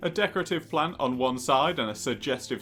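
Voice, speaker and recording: A man speaks with music playing in the background. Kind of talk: comedic product review narration. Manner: dry, jokey.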